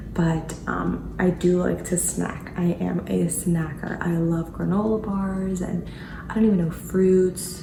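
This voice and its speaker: A woman talks very slowly, her voice carrying audible room echo amid noticeable background noise. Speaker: lifestyle vlogger. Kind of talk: casual vlog narration.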